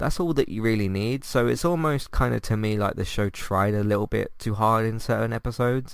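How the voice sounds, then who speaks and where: On a very clean recording with a silent background, a man with a British accent talks at a fairly quick pace in a medium pitch with ordinary pitch variation. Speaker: podcast host. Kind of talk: casual review monologue. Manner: hesitant, many fillers.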